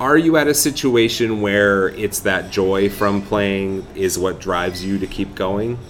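With a Canadian accent, an unremarkable speaking voice moves at a fairly slow pace with ordinary pitch variation. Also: man. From Vancouver, Canada. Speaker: tournament media manager and podcast host. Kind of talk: casual interview and podcast narration. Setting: restaurant at a country club.

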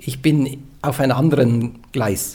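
Somewhat breathy, a man speaks at medium pitch with ordinary pitch variation. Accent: Norwegian. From western Norway. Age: 40s. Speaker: retired pastor. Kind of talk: interview.

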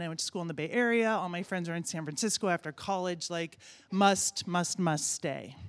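A woman with an American accent in a normal speaking voice, ordinary pitch variation, a fairly quick pace, and a very clean recording with a silent background. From Aberdeen, Washington. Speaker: storyteller, tech freelancer. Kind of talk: improvised storytelling. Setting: stage with audience.

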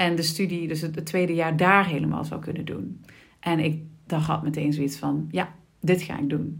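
A woman's very deep, low voice with vocal fry, fairly even intonation, a moderate pace and audible room echo. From Sittard, Limburg, Netherlands. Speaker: podcast host, business coach. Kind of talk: solo podcast monologue. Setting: office. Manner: casual, with frequent fillers.

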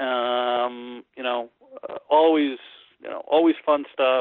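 A man of medium pitch with a New York accent and fairly even intonation. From New York area. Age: 50s. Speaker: graphic designer. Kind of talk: casual chat.

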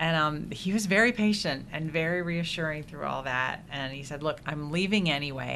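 Amid audible room echo, a woman with a very deep, low pitch talks at a fairly quick pace, her bright, sharp tone marked by vocal fry and ordinary pitch variation. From Indiana. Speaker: university media producer. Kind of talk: casual chat.

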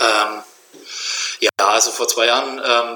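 There is noticeable background noise throughout. Through it, a man talks. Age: 30s. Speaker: entrepreneur, trailer manufacturer. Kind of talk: interview.

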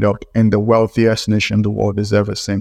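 A man speaks at a medium pitch and a fairly quick pace. The background is quiet. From Nigeria, Lagos. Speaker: startup co-founder and CEO. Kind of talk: interview. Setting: remote call.

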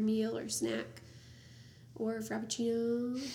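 Heard with audible room echo, a woman in an American accent talks at a fairly slow pace. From Ohio, US. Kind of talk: casual interview chat.

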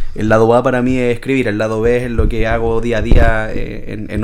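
Fairly quick speech from a man at medium pitch, with noticeable background noise and audible room echo. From Chile, Antofagasta. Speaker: writer and podcast co-host. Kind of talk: casual chat.

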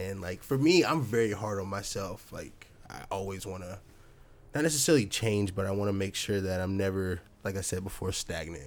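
An unremarkable speaking voice at a moderate pace. Its pitch varies in an ordinary way. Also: man, fairly low pitch for a man. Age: 20s. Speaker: podcast host. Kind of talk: casual chat.

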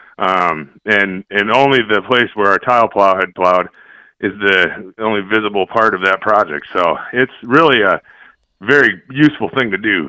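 With an American accent and a fairly low pitch, a man talks at a moderate pace with ordinary pitch variation in a plain, everyday voice. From Iowa. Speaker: tile contractor, caller. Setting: phone call.

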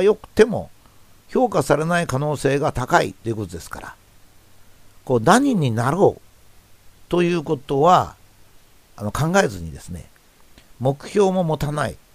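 A man with a fairly high pitch makes very wide pitch swings. He keeps a moderate pace but takes long, frequent pauses. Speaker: professor and commentator. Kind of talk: reflective monologue talk.

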